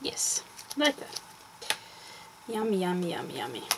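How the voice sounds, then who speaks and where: Someone speaks with a Swedish accent over noticeable background noise. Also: woman. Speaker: crafter. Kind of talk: tutorial. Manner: halting. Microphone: poor sound.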